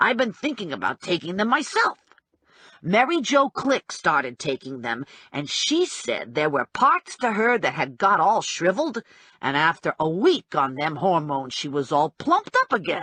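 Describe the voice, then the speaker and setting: A put-on character voice sits at a middle pitch. It moves at a moderate pace over a quiet background. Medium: read story. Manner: chatty, blunt.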